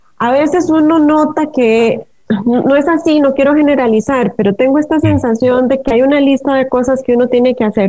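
With a dark, mellow tone, a woman speaks at a high pitch with ordinary pitch variation. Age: 40s. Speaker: writer and dancer. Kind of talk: interview.

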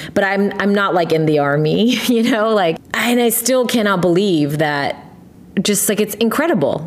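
Using a normal speaking voice, a woman with an American accent talks at a moderate pace with lively intonation, medium pitch, and very even loudness. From US, Korean American family. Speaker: podcast host. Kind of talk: casual chat.

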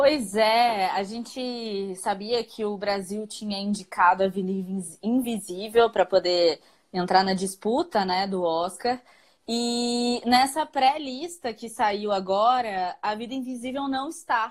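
A woman speaks very slowly at a fairly high pitch, varying it in an ordinary way. The recording is very clean, the background silent. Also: big swings in loudness. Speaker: podcast co-host. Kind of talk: casual chat. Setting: live stream on social media.

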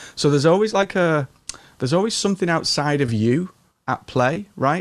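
On a very clean recording with a silent background, a man with an English accent speaks at a moderate pace with lively intonation. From England. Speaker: business and marketing coach. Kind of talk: interview. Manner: calm.

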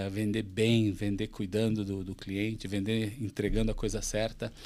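At a fairly slow pace, a man speaks. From Santa Catarina, Brazil (Chapecó). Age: 40s. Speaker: company CEO. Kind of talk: interview conversation.

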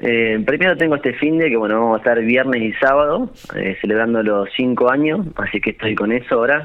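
A man with an unremarkable speaking voice at medium pitch talks with very even loudness, ordinary pitch variation and hardly any pauses. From Argentina, La Pampa (General Pico). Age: 30s. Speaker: restaurant owner. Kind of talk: radio interview.

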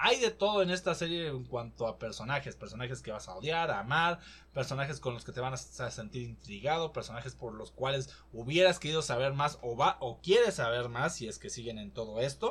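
A man talks at a fairly quick pace. His loudness swings widely from moment to moment. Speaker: podcast host. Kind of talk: casual solo commentary.

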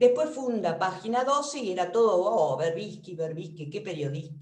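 A woman at a medium pitch speaks at a fairly slow pace, somewhat breathy, her pitch swinging very widely. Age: 60s. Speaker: retired general practitioner. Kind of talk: seminar discussion.

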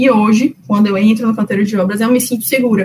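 With fairly even intonation, a woman speaks in an ordinary speaking voice at a fairly high pitch. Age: 20s. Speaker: civil engineer. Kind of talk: interview. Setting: remote call.

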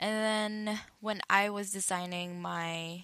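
A woman speaks with a Filipino accent in a bright, sharp tone. Her intonation stays monotone and flat. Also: very clean recording, silent background. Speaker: podcaster. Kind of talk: casual chat. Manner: loud; code-switching Taglish.

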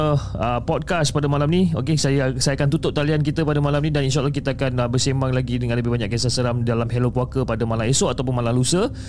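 Talking very fast with very even loudness, a man with a fairly high pitch sounds animated over noticeable background noise. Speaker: podcast host reading horror stories. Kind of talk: storytelling and live call-in show. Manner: animated, code-switches into English.

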